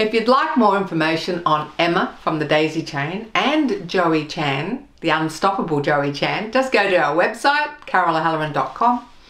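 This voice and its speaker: In an Australian accent, a woman speaks at a fairly slow pace, with audible room echo around her. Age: 50s. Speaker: web show host. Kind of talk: scripted presenting; interview. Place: home room.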